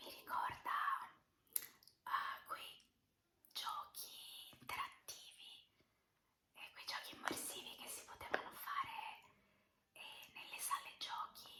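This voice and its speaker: Whispering at a very slow pace with long, frequent pauses and big swings in loudness, the voice carries audible room echo. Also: woman. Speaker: ASMR creator. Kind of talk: ASMR whispering. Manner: whispered; soft-spoken.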